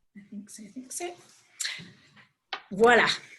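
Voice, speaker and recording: Speaking at a very slow pace, a woman has a bright, sharp tone, and audible room echo surrounds her voice. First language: English (speaking French). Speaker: organisation executive, webinar opener. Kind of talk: formal webinar welcome. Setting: online webinar.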